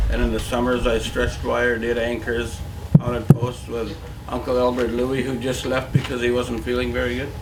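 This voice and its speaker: Moderate pace from a man, noticeable background noise and audible room echo throughout. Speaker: First Nations community elder. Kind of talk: ceremonial speech.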